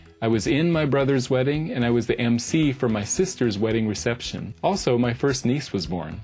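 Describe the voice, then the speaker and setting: A man with an American accent at a medium pitch, lively in intonation, fairly quick with hardly any pauses, very even in loudness, over music in the background. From US Southwest (Mexico, Dallas, Tucson). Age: 50s. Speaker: vlogger. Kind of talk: scripted narration.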